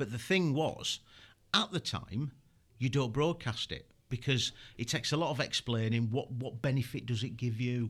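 On a very clean recording with a silent background, a man speaks at a moderate pace with a Yorkshire accent, a medium pitch and ordinary pitch variation. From Yorkshire, England. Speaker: former military interrogation instructor and consultant. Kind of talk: casual interview chat.

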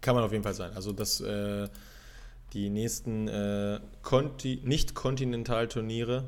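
Speaking at a fairly slow pace, a man leaves long, frequent pauses amid audible room echo. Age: 30s. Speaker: beach volleyball podcast co-host. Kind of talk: casual chat.

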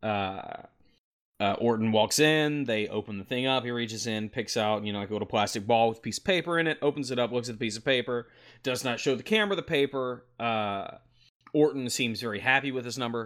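This man has a plain, everyday voice, pitched medium with ordinary variation. He talks at a fairly quick pace. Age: 30s. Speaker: wrestling podcast host. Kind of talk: casual chat. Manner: play-by-play recap of matches.

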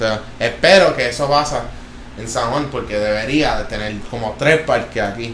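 Noticeable background noise and audible room echo behind a man's voice. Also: medium pitch for a man, ordinary pitch variation, moderate pace. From Florida, US (Jacksonville and Orlando), Puerto Rican family. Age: 20s. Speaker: professional skateboarder, Olympian. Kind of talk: casual interview. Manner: halting, many fillers.

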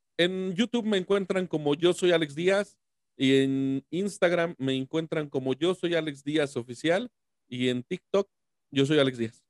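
This man has an unremarkable speaking voice, pitched fairly high, and he takes a fairly slow pace with ordinary pitch variation. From Mexico, San Luis Potosí. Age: 30s. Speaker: YouTuber. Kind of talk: casual interview.

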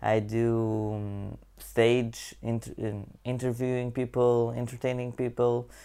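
A man's medium-pitched, dark, mellow voice in a Portuguese accent, monotone and flat, at a very slow pace. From Portugal. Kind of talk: channel intro monologue. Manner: halting.

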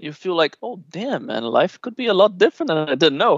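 A man is speaking. He has a Brazilian accent. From Rio de Janeiro, Brazil. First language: Portuguese. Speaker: expat guest. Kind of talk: casual interview chat.

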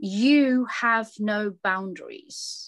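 With a British accent, a woman talks at a very slow pace in a very clean recording with a silent background. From England, British Bangladeshi family. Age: 50s. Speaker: social enterprise founder. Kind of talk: interview.

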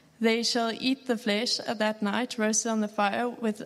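A woman speaks in a fairly high, monotone, flat voice. Her pace is moderate, and background noise is noticeable. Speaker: scripture reader. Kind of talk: reading aloud. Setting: church.

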